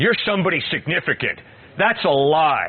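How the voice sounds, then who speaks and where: At a fairly slow pace, a man speaks against noticeable background noise. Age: 60s. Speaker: campus evangelist. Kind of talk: open-air Q&A with students. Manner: animated.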